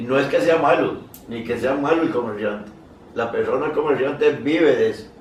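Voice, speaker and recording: Audible room echo and noticeable background noise surround a man whose intonation stays fairly even. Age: 80s+. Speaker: horse breeder and association veteran. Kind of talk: casual conversation. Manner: halting, repeats words.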